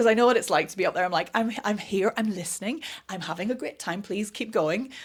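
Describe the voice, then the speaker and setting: With a Northern Irish accent, a woman talks at a fairly quick pace in a medium pitch, her intonation lively. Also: very clean recording, silent background. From Northern Ireland. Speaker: vocal coach. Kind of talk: podcast interview. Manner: fast.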